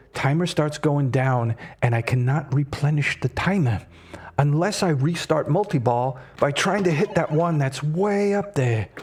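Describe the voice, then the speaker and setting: A man speaks at a moderate pace in an animated tone, with ordinary pitch variation and a somewhat breathy quality. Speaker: streamer. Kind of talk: live gameplay commentary.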